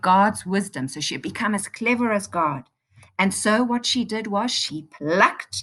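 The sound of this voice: Quiet background behind an unforced reading voice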